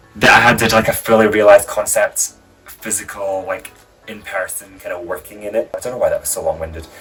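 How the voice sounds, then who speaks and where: Very fast speech with music in the background. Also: man. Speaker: drag artist vlogger. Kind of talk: casual vlog. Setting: home, on a rolly chair. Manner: casual, hesitant with fillers. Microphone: new mic, too far away, poor sound.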